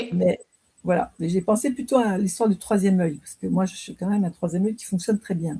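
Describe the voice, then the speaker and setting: A woman talks at a very fast pace in a somewhat breathy, medium-pitched voice. Her loudness swings widely. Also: ordinary pitch variation. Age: 60s. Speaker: training participant. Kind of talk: casual chat. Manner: halting.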